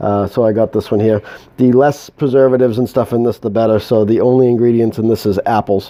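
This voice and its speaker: A man at a very fast pace, medium in pitch, with very even loudness and monotone, flat intonation. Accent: New England. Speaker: home moonshine maker. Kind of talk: tutorial. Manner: halting.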